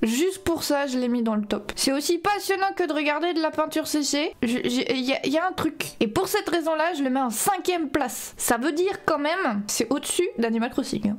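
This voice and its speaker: Over noticeable background noise, a woman speaks at a high pitch and a moderate pace, with lively intonation, hardly any pauses and very even loudness. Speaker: vtuber, gaming streamer. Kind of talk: casual livestream commentary. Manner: animated.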